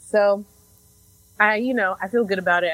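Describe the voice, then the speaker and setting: A woman speaks with an American accent. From Chicago. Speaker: podcast co-host. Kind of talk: casual chat.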